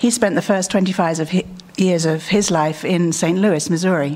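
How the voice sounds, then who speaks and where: In a British accent, a woman talks at a moderate pace and a medium pitch. Her pitch variation is ordinary, and noticeable background noise is present. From England. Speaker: conference speaker. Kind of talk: conference talk.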